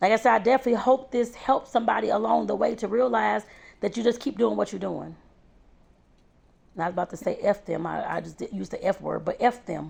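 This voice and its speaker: A woman speaks with a St. Louis accent in an animated tone. Her pace is very fast. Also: big swings in loudness. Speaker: home baker and vlogger. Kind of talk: motivational vlog talk.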